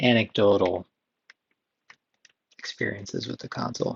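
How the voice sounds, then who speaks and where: A soft-spoken, somewhat breathy man at a moderate pace, relaxed in tone, with ordinary pitch variation. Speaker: ASMR video game chat creator. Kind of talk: relaxing ASMR-style chat to camera. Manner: soft-spoken, relaxed.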